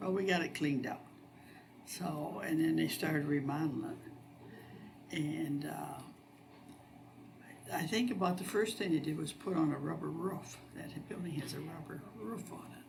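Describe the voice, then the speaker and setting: A woman's very deep, low voice at a moderate pace, with ordinary pitch variation, long, frequent pauses and big swings in loudness, amid noticeable background noise and audible room echo. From northwest Ohio, US Midwest. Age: 70s. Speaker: local resident sharing memories. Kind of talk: oral history interview.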